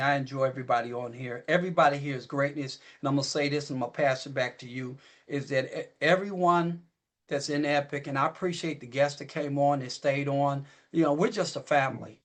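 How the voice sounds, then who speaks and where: In a plain, everyday voice, a man talks at a fairly quick pace and fairly high pitch with fairly even intonation. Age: 60s. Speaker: business partner speaking on company call. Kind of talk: motivational talk.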